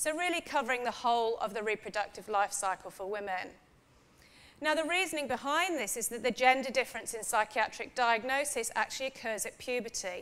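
At a fairly quick pace, a woman speaks in a high pitch with lively intonation. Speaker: professor of women's health psychology. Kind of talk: academic lecture. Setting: stage with audience. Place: hall. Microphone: podium.

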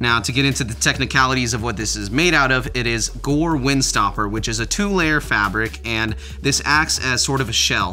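Moderate-paced male speech with hardly any pauses, faint music in the background. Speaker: clothing reviewer. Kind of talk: product review talk. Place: home room.

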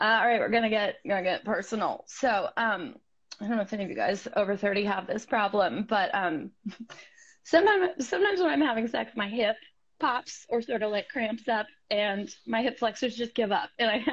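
Fairly quick and somewhat breathy, a woman talks with ordinary pitch variation in a quiet background. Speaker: comedy podcast co-host. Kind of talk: comedic stand-up style bit. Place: home room.

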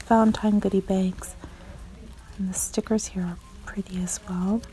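Light background noise runs under speech at a moderate pace. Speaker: shopping vlogger. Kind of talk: casual vlog chat. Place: shop. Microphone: phone near.

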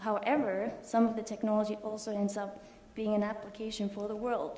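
In a room with audible echo, a woman with a fairly high pitch speaks at a moderate pace in a flat monotone. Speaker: physics institution staff. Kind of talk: talk. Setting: stage with audience. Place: hall. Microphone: podium.

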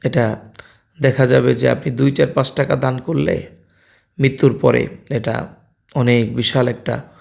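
A man is speaking here. His voice has vocal fry. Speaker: vlogger. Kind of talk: casual vlog talk with religious advice.

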